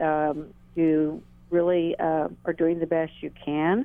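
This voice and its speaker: Very slowly, a woman speaks with a very deep, low pitch. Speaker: caller. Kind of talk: call-in comment. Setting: phone call.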